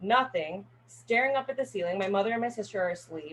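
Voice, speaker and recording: Speaking at a very fast pace, a woman with an American accent has a medium pitch and a somewhat breathy voice. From Northern California. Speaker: college student. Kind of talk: class speech. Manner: casual, filler-heavy.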